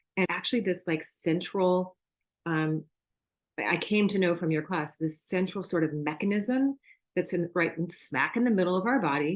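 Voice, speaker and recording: Someone with an American accent talks at a moderate pace, with very even loudness and ordinary pitch variation, over a quiet background. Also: woman, fairly low pitch for a woman. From US West Coast, Orange County, Southern California. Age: 60s. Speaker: sign language interpreter, yoga student. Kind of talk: testimony. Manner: casual, hesitant with fillers.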